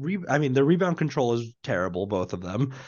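A man's fairly high-pitched voice moves through very wide pitch swings. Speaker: podcast host. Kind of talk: casual sports podcast chat. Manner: annoyed, ranting.

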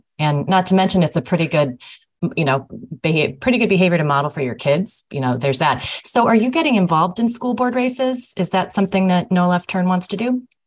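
A woman with a medium pitch speaks at a very fast pace in a somewhat breathy voice. Her pitch swings very widely. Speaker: podcast co-host. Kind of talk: interview.

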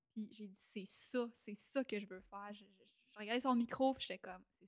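A woman with a Quebec accent speaks at a fairly quick pace in a fairly high pitch with ordinary pitch variation. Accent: Québécois French. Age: 20s. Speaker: entrepreneur and stage talk show host. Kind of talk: casual interview. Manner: animated.

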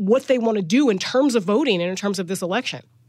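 A woman talks very fast at a medium pitch, her intonation lively. Noticeable noise sits in the background. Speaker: podcast host and political reporter. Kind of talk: news analysis discussion.

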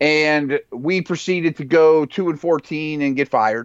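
In an American accent, a man talks fairly slowly with an ordinary speaking voice set fairly high in pitch. The sound is dry and close with no echo, and the background is quiet. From Pittsburgh, Pennsylvania. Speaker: football analyst and former NFL scout. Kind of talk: casual sports chat.

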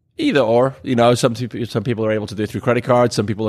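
A man with a Welsh accent at a very fast pace, fairly even intonation, and a quiet background. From Wales. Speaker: bar owner. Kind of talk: casual chat. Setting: bar.

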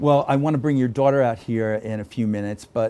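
Speaking with an American accent, a man uses a medium pitch and ordinary pitch variation. His pace is fairly quick. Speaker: podcast host and film critic. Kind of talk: interview. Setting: studio. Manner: animated.

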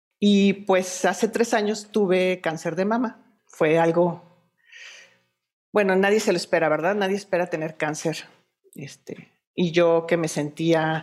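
This woman's fairly low voice unfolds at a very slow pace. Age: 40s. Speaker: breast cancer survivor and activist. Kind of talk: interview.

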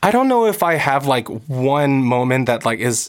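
Here a man speaks with a Californian accent. His pace is moderate. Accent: Californian American. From Los Angeles, US. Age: 20s. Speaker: actor and musician. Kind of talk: casual chat.

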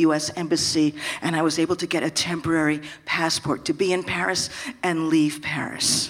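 A woman speaks at a fairly low pitch with fairly even intonation. Noticeable background noise runs under her voice. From San Francisco. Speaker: storyteller, comedian. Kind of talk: live storytelling.

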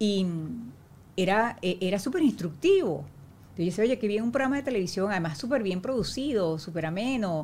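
A woman's somewhat breathy voice at medium pitch, with lively intonation and a moderate pace. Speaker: actress. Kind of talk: casual chat.

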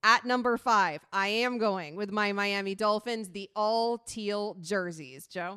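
A woman with an American accent at a very slow pace, hardly any pauses, ordinary pitch variation and a quiet background. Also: medium pitch for a woman. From US South, Sarasota, Florida. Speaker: sports radio host. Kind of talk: sports talk radio chat. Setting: radio studio.

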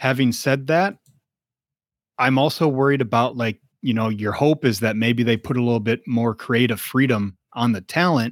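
An unremarkable speaking voice from a man, medium in pitch with ordinary variation, at a moderate pace, dry and close with no echo, on a very clean recording with a silent background. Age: 40s. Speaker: wrestling podcast co-host. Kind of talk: casual chat.

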